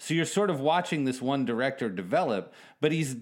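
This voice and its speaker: In an ordinary speaking voice, a man talks at medium pitch and a fairly quick pace with lively intonation. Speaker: podcast co-host. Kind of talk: casual chat. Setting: remote from other host.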